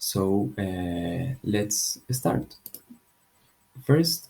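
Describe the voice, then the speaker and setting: Speaking quietly, a man with a fairly low pitch uses lively intonation in a dark, mellow, somewhat breathy tone. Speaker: English teacher. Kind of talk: tutorial. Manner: slow.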